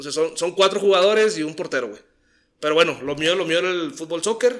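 This man has an ordinary speaking voice with a fairly high pitch. His intonation is lively. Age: 30s. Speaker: podcast guest. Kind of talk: casual chat.

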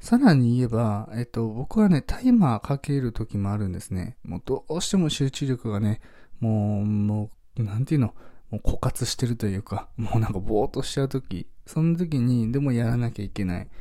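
Against a silent background, a dark, mellow tone comes through on a very clean recording. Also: man, medium pitch for a man, ordinary pitch variation. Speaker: minimalist podcaster. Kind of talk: solo radio talk. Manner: fast; many fillers.

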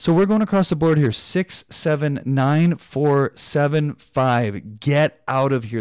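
A man with a Canadian accent and a normal speaking voice talks at a fairly slow pace and fairly high pitch, with ordinary pitch variation, in a very clean recording with a silent background and a dry, close sound with no echo. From Canada. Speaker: basketball podcast host. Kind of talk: solo sports podcast analysis. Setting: studio.

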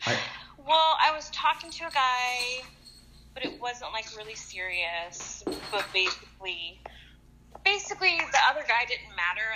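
A woman speaks in a raised, projected voice at a high pitch, with very wide pitch swings. Her loudness swings widely, broken by long, frequent pauses. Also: moderate pace. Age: 30s. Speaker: nurse. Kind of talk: casual chat. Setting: phone call.

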